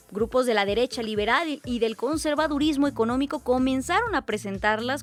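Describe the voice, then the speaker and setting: A woman's high-pitched voice over music in the background. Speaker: radio news host. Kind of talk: radio news presenting. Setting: radio studio.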